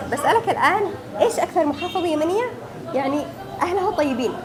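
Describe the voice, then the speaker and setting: A woman with an extremely high pitch and very wide pitch swings speaks with long, frequent pauses, amid audible room echo and crowd noise in the background. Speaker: street interviewer, YouTuber. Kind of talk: vox pop interview; vlog intro to camera.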